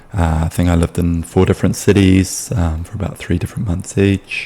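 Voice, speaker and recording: Over noticeable background noise, a man with a New Zealand accent speaks in a very deep, low voice with fairly even intonation. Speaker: sales appointment setter. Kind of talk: casual explainer video. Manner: hesitant, many fillers.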